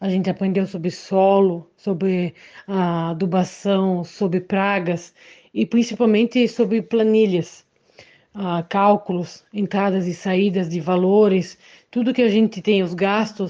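A woman with a dark, mellow tone speaks fairly slowly at a medium pitch, with fairly even intonation. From Santa Catarina, Brazil. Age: 20s. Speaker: young entrepreneur growing ornamental plants. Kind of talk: testimony. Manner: halting, with filler sounds.

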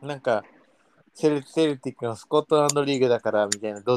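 The recording of this man is dry and close, with no echo. He talks very fast at medium pitch, with ordinary pitch variation. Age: 20s. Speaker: football podcast co-host. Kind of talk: casual chat. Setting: at home.

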